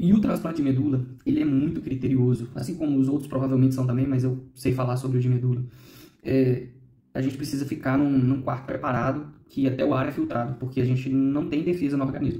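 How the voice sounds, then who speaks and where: Over audible room echo, a man talks very fast in a somewhat breathy, dark and mellow voice of medium pitch. His intonation stays fairly even. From Minas Gerais, Brazil (Ipatinga). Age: 30s. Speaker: bone marrow transplant survivor. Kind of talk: documentary interview testimony.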